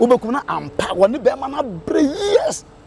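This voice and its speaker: A man speaks over noticeable background noise. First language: Twi. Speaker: radio presenter. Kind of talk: casual chat. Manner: loud; halting.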